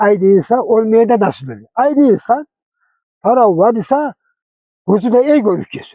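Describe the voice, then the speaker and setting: Here a man speaks at a high pitch, with a dark, mellow tone. His intonation is lively, and his pace is moderate. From Artvin, northeastern Turkey. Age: 80s+. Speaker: folk poet. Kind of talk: interview answer.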